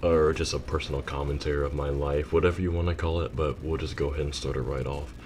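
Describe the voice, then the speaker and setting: Against noticeable background noise, a man with a very deep, low voice talks at a fairly quick pace. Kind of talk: unscripted personal commentary. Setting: home recording with rain and thunder in background.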